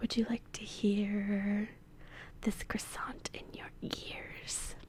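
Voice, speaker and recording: Someone whispers in a playful tone. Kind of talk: ASMR role-play, soft-spoken talk to camera. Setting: studio, binaural microphone. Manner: soft-spoken, playful, whispery.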